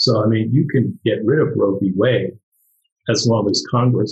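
Somewhat breathy speech with an American accent comes through in a dry, close sound with no echo. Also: man. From US, New York. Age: 60s. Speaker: artist. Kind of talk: casual panel discussion. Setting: video call.

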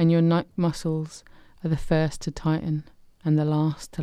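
A woman speaks with a very deep, low pitch. Her tone is dark and mellow, soothing and calm. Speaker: hypnotherapist and charity volunteer. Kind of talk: guided meditation. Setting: radio studio. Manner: slow, soothing and calm, hypnotic pacing; soft-spoken.

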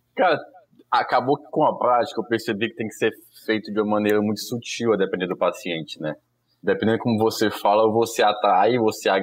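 Fairly low in pitch, a man talks at a fairly quick pace. He has an unremarkable speaking voice. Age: 30s. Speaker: family doctor. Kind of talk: casual chat. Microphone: connection problems.

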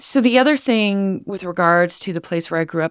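With a Western Canadian accent, a woman talks at a moderate pace in a dry, close sound with no echo. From Canada, Northern Alberta. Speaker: podcast host. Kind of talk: personal monologue.

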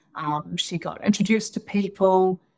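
Speaking at a fairly slow pace, a woman with a New Zealand accent uses a medium pitch and ordinary pitch variation. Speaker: economic development executive. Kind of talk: interview.

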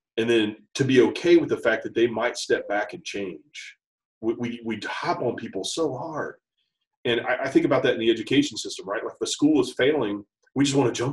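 Speaking at a fairly quick pace with an American accent, a man's voice swings widely in loudness. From US Midwest (Dayton, Ohio area). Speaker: school principal. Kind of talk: interview conversation. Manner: halting, many fillers and repeats.

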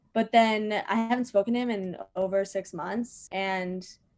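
A woman with an American accent has an unremarkable speaking voice and fairly even intonation. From Virginia. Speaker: comedian. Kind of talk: casual chat.

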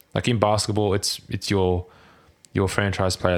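A man talks in a very deep, low voice with a monotone, flat delivery. The recording is very clean, with a silent background. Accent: Australian. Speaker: football fan guest. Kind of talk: casual chat.

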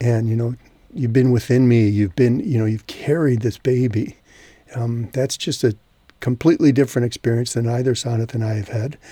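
A man's dark, mellow, somewhat breathy voice moves at a fairly quick pace. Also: medium pitch for a man. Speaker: podcast host. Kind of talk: casual chat.

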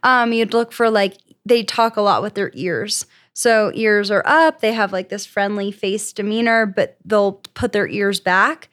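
A woman with a plain, everyday voice speaks at a fairly slow pace, her pitch fairly high and her intonation fairly even. The recording is very clean with a silent background, its sound dry and close with no echo. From Florida. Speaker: police officer. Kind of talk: casual chat.

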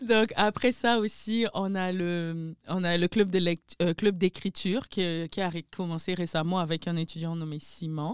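A woman's fairly low, normal speaking voice, fairly slow with hardly any pauses, ordinary pitch variation, and a dry, close sound with no echo. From Republic of Congo, Pointe-Noire. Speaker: events coordinator. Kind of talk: casual chat.

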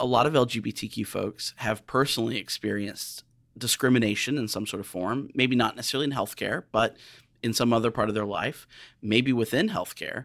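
An unremarkable speaking voice at a fairly quick pace, on a very clean recording with a silent background. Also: man, medium pitch for a man, fairly even intonation. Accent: American. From US Midwest, southern Illinois. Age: 40s. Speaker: healthcare diversity director. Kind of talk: interview.

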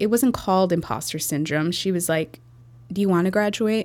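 Talking at a fairly quick pace, a woman with a Chicago accent has a fairly low-pitched voice. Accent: Chicago American English. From Chicago, US Midwest. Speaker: entrepreneur, marketing agency founder. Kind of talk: interview conversation.

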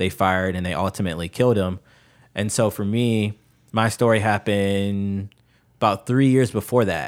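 An ordinary speaking voice with an American accent moves at a moderate pace with fairly even intonation in a very clean recording with a silent background. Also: man, fairly low pitch for a man. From US Midwest, Chicago. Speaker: podcast guest sharing personal stories. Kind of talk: casual conversation, personal storytelling. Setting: in-person studio recording, same room.

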